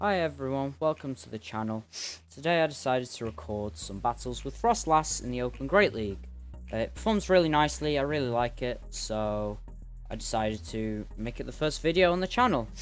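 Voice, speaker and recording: Music can be heard behind the speaker. He is a man talking at a fairly quick speed. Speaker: gaming commentator. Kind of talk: gameplay commentary.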